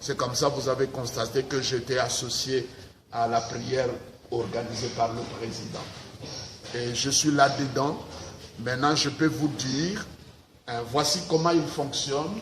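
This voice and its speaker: Pausing long and often, a man at medium pitch speaks with ordinary pitch variation, with noticeable background noise and audible room echo. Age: 60s. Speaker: pastor. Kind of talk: interview. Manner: hesitant, many 'euh' fillers.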